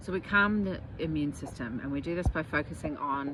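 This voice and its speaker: Through noticeable background noise, a woman speaks in a very deep, low voice. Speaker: naturopath. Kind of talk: health talk on a live stream. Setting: outdoors in gardens. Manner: halting, many fillers.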